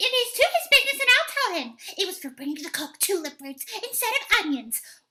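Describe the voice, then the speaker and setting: In a squeaky, put-on character voice pitched extremely high, the speaker moves at a fairly quick pace with very wide pitch swings. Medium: stage play. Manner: nervous, stammering.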